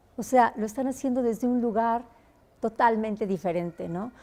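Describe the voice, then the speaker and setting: At a moderate pace, a woman speaks in a plain, everyday voice, fairly high in pitch with ordinary pitch variation. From Mexico. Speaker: singer. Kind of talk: interview answer.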